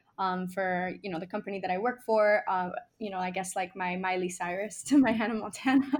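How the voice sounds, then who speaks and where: In a Miami accent, a woman talks at a fairly quick pace with a medium pitch and fairly even intonation. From Miami, Nicaragua-born. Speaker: musician. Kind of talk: casual interview chat. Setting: video call.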